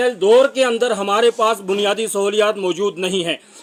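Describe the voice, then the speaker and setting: There is noticeable background noise. Through it, a man talks with fairly even intonation. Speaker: local reporter. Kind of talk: public appeal to officials. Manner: formal.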